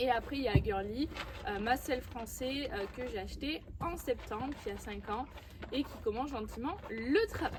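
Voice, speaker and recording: A woman speaks at a high pitch with lively intonation and big swings in loudness. Her pace is fairly slow, with noticeable background noise. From southwest France, Landes. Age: 20s. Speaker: riding instructor and horse breeder. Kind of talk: casual Q&A vlog. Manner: hesitant, many fillers.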